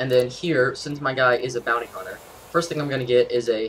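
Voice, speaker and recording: Fairly quick speech comes from a man. Clearly audible noise sits in the background. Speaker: gaming youtuber. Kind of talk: tutorial. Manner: fast; casual, with fillers.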